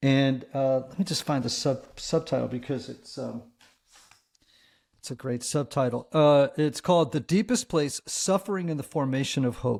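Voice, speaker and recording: A man talks at a moderate pace in a fairly high pitch with ordinary pitch variation, on a very clean recording with a silent background. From Connecticut, US Northeast. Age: 60s. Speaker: priest, therapist and author. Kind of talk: interview. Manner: halting, many fillers and repeats.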